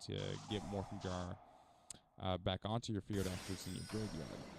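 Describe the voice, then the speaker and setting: A man speaks softly at a fairly low pitch. There is noticeable noise in the background. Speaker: gaming video creator. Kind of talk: gameplay commentary. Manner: soft-spoken, talking quietly; halting, many fillers.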